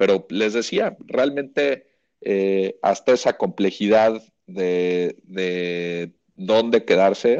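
A man's fairly low, very slow voice in a Mexican accent, with big swings in loudness. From Mexico. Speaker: golf reporter. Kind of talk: casual chat.

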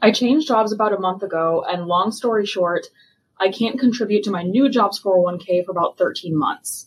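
A woman with an American accent uses a normal speaking voice at medium pitch, ordinary pitch variation, and a moderate pace. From US Midwest. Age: 30s. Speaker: listener asking a question. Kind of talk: recorded voicemail question.

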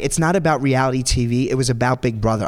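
A man with a New York accent talks at a fairly quick pace and a medium pitch, with ordinary pitch variation. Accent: New York (Staten Island). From New York, Staten Island. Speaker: Broadway performer. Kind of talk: interview. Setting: stage with audience.

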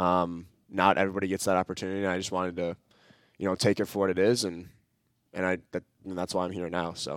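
A man with a very deep, low pitch talks at a very fast pace in an Upper Midwest accent, his intonation monotone and flat. Long, frequent pauses break up his speech in a very clean recording with a silent background. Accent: Upper Midwest American. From Minnesota (Edina, Twin Cities). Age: 20s. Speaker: college soccer player. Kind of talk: interview.

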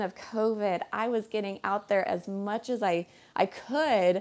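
With an unremarkable speaking voice, a woman talks at a fairly high pitch and ordinary pitch variation on a very clean recording with a silent background. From Colorado. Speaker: boat captain and podcaster. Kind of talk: casual interview.

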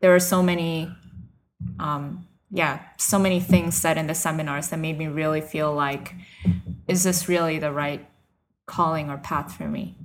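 This woman has a very deep, low pitch and an American accent. Her intonation is fairly even, with long, frequent pauses. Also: moderate pace. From New York / New Jersey area. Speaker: missionary. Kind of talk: interview testimony.

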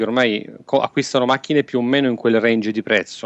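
Speaking at a fairly quick pace, a man has a plain, everyday voice with medium pitch and ordinary pitch variation. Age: 30s. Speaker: photographer. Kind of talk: casual chat.

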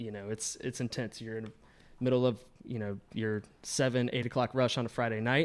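Speaking at a fairly quick pace, a man with an American accent uses a medium pitch and monotone, flat intonation. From US South, Georgia. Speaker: print shop owner. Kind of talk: casual chat.

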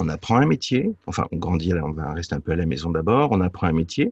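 Speaking at a fairly quick pace, a man with a very deep, low pitch sounds somewhat breathy in a dry, close recording with no echo. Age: 50s. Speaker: business coach. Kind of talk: interview. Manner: halting.

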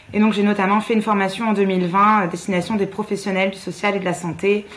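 A woman talks in a monotone with flat intonation. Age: 20s. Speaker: physiotherapist and feminist activist. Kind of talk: interview.

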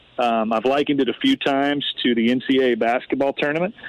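A man with a plain, everyday voice at medium pitch, fairly even intonation and a moderate pace. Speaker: sports team executive. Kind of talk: radio interview. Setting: phone call from home front porch.

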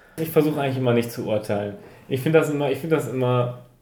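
A man with a dark, mellow tone speaks at a very fast pace amid audible room echo. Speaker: podcast co-host. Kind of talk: casual chat.

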